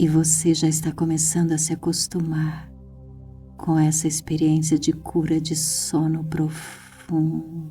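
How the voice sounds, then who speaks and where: With music in the background, a soft-spoken woman with a very deep, low voice speaks in a calm tone at a very slow pace, her intonation monotone and flat. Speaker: hypnotherapist. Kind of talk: guided sleep hypnosis. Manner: soft, calm.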